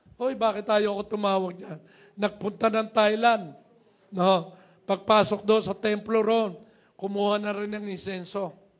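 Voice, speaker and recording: High pitch from a man in a monotone, flat delivery. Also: fairly slow pace. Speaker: pastor. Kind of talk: sermon.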